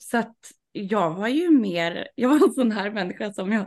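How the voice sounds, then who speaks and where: A woman talks at a moderate pace with lively intonation and vocal fry. The background is quiet. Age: 30s. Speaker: sex party organizer. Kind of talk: casual interview.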